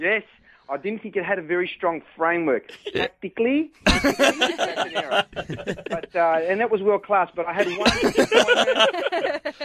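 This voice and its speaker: Noticeable background noise accompanies a man whose high pitch swings very widely. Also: moderate pace. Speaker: soccer commentator calling in to radio show. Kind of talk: phone call into radio show. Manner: chatty, humorous.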